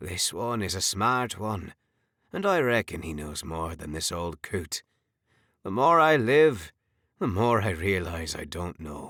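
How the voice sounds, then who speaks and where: A man does a put-on character voice on a very clean recording with a silent background. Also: fairly low pitch for a man, fairly slow pace. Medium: read story. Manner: warm, grandfatherly.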